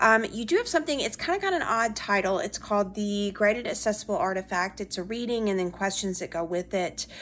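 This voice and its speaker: The speaker talks at a very fast pace in an American accent. Pitch variation is ordinary. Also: woman, medium pitch for a woman, hardly any pauses. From US South, Alabama. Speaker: history professor. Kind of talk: recorded weekly class announcement. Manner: conversational with frequent fillers. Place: home room. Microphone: phone near.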